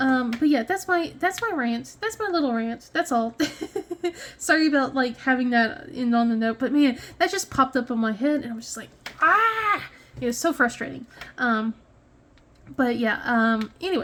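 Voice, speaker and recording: A woman speaks at a high pitch and a moderate pace with lively intonation and long, frequent pauses. Noticeable background noise can be heard. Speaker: crafting video creator. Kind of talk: casual chat. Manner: halting, many fillers.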